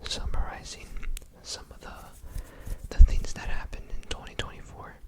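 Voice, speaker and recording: Whispering, a man goes at a fairly slow pace. Noticeable background noise is present. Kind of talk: ASMR year recap talk to camera. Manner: whispered, soft-spoken.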